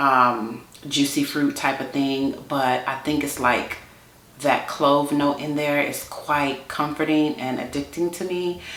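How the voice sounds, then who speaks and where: A woman with an American accent speaks at a very slow pace in a very deep, low voice with fairly even intonation. Noticeable background noise and audible room echo fill the recording. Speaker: beauty YouTuber. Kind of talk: casual chat.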